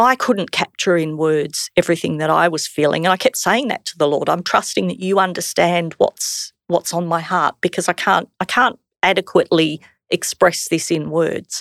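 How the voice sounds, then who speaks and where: The recording is very clean with a silent background and a dry, close sound with no echo. A woman with an Australian accent speaks at fairly low pitch with ordinary pitch variation. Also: moderate pace. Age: 50s. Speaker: church member sharing testimony. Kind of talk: testimony.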